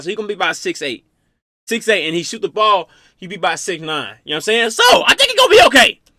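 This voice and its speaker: A raised, projected voice at a very fast pace, animated and bright with a sharp edge, ordinary pitch variation, and a dry, close sound with no echo. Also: man. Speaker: reaction youtuber. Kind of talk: casual reaction commentary. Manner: stuttering at times.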